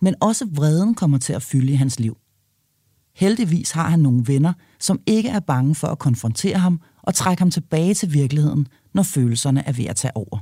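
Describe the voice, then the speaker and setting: Speaking at a moderate pace, a woman with a very deep, low voice and a dark, mellow tone sounds somewhat breathy, her pitch swinging very widely in a dry, close sound with no echo. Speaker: podcast host. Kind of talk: interview; scripted narration. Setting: allotment garden cabin.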